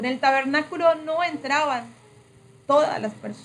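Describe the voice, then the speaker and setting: A woman speaks at a moderate pace in a high voice with ordinary pitch variation. Noticeable background noise runs under her. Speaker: preacher / prayer trainer. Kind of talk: sermon-style training.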